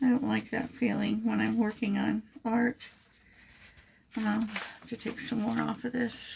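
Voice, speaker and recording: The voice is quiet and fairly slow. Background noise is noticeable. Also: woman. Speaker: crafting youtuber. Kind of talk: craft tutorial. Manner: hesitant with fillers.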